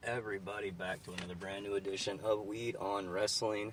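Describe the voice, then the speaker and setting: A mumbling man with a fairly low pitch, over noticeable background noise. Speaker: wrestling podcast host. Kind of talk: casual podcast commentary. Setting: inside a car. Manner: rambling, mumbling.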